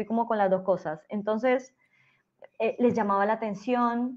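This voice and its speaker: Over a quiet background, a woman talks at a fairly high pitch with fairly even intonation. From Colombia. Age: 30s. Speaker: teacher and school principal. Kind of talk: interview. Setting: podcast recording.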